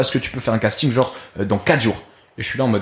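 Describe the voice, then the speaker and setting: An animated male voice. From France. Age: 20s. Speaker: youtuber and fitness coach. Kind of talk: podcast interview. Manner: fast.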